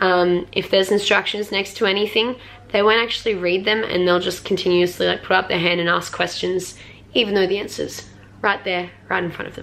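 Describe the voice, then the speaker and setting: Fairly quick, monotone, flat speech from a woman at medium pitch over noticeable background noise. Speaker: music teacher. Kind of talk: vlog tips talk.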